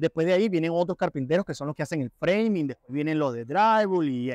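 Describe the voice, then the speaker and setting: Over a quiet background, a man with a fairly high pitch talks at a very fast pace with lively intonation. The sound is dry with no echo. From Venezuela. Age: 30s. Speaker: construction carpenter, immigrant. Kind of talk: interview answers. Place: hall. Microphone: lapel.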